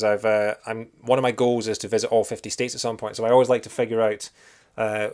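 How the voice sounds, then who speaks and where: The recording is very clean, and the background is silent. A man speaks at a very fast pace. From Scotland. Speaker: video game streamer. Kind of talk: live gameplay stream commentary. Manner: casual, with many fillers.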